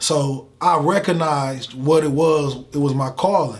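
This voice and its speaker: This man's voice is fairly high and somewhat breathy. His pitch varies in an ordinary way. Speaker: motivational speaker. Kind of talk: interview. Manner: animated.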